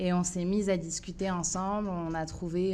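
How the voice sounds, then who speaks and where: A woman's fairly low, monotone, flat voice at a very slow pace, with audible room echo. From France, Paris suburbs. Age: 30s. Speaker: municipal election candidate. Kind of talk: interview. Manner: hesitant, many filler sounds.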